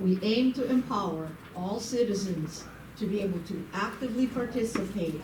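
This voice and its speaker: There is noticeable background noise and audible room echo around this woman's voice. She speaks at a moderate pace with a medium pitch and lively intonation. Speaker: civic volunteer and forum moderator. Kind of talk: public forum welcome speech. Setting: meeting room with live audience. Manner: loud.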